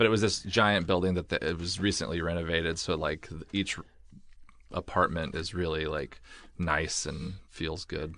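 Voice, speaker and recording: A man speaks with an American accent at a moderate pace, his pitch very deep and low. His tone is bright and sharp, with fairly even intonation. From Oregon. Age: 30s. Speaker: comedian. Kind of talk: casual chat. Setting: studio.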